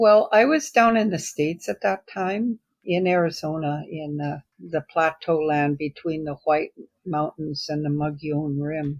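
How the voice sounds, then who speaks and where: On a very clean recording with a silent background, a woman with a very deep, low pitch speaks at a fairly slow pace with ordinary pitch variation. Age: 70s. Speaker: writer and educator. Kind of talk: casual chat.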